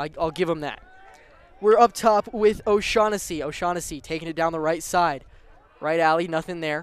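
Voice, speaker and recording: Against noticeable background noise, a man speaks at a high pitch with ordinary pitch variation. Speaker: sports play-by-play announcer. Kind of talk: live commentary. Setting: outdoor stadium broadcast. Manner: fast.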